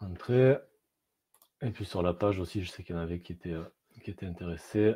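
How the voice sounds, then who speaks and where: A man's dark, mellow tone at a fairly quick pace with ordinary pitch variation, in a very clean recording with a silent background. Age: 30s. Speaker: keto diet coach. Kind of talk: live stream talk. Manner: hesitant, many fillers.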